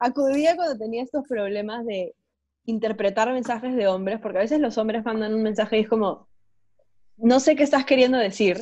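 A woman at a fairly quick pace, fairly high in pitch, with a dark, mellow tone over a quiet background. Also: ordinary pitch variation. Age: 20s. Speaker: podcast co-host. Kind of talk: casual chat.

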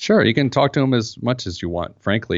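A man with an American accent has an unremarkable speaking voice. He talks at a fairly quick pace with ordinary pitch variation. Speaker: financial expert. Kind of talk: interview conversation. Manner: humorous, conversational.

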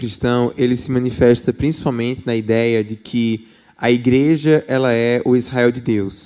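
In a Paraíba accent, a man speaks with a dark, mellow tone at a medium pitch. He keeps a moderate pace with hardly any pauses. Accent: Paraíba (northeastern Brazilian). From Paraíba, Brazil. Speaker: political scientist and professor. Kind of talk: church talk interview.

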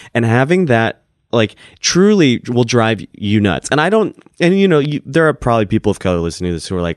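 Using an ordinary speaking voice, a man talks at a fairly quick pace with lively intonation, in a dry, close sound with no echo. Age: 30s. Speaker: stand-up comedian. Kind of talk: casual interview chat.

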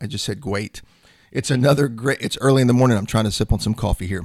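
This is an unremarkable speaking voice from a man. His pitch is medium, with ordinary pitch variation. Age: 50s. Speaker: sales coach and podcast host. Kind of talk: solo podcast monologue. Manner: casual, conversational with fillers.

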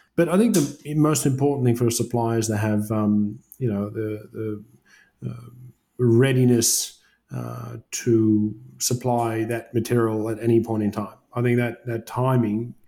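This man has an Australian accent and a dark, mellow tone at a medium pitch. He talks at a fairly slow pace with fairly even intonation. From Australia, Wollongong. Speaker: construction project manager. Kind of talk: interview conversation.

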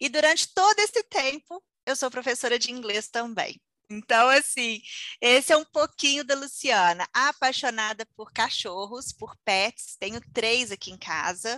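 A woman with a high pitch and a bright, sharp tone speaks at a fairly slow pace, her loudness swinging widely. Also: lively intonation. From Minas Gerais, Brazil (Conselheiro Lafaiete). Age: 30s. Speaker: entrepreneur and English teacher. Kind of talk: interview.

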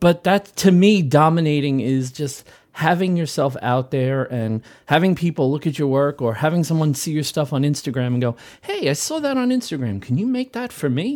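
Lively in intonation, a man with a plain, everyday voice speaks at a fairly high pitch in a very clean recording with a silent background. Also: moderate pace. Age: 40s. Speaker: maker. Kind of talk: casual chat.

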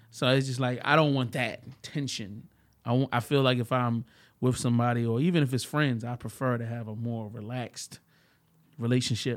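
Fairly quick and fairly even in intonation, a man's plain, everyday voice sits at medium pitch on a very clean recording with a silent background. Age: 40s. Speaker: podcast guest. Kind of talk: casual chat.

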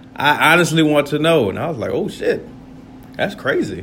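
A man speaks in an animated tone at a fairly high pitch. Audible room echo surrounds his voice. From US suburbs. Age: 30s. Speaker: podcaster. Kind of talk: casual monologue.

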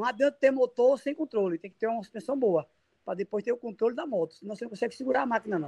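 A man talks at a very fast pace with lively intonation, his extremely high-pitched voice dark and mellow in tone, the sound dry and close with no echo. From Brazil, Sergipe (Lagarto). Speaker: motocross racer. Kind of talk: interview.

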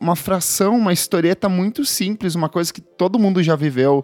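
Over music in the background, a man talks at a fairly quick pace with ordinary pitch variation in a dry, close sound with no echo. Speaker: podcast host. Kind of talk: casual chat about music; scripted narration.

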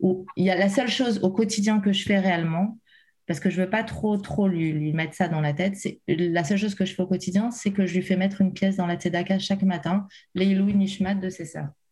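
A woman with a dark, mellow tone and a somewhat breathy medium-pitched voice speaks at a fairly quick pace with fairly even intonation. The recording is very clean, with a silent background. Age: 30s. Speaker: bereaved mother sharing her story. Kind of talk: emotional testimony. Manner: halting, many hesitations.

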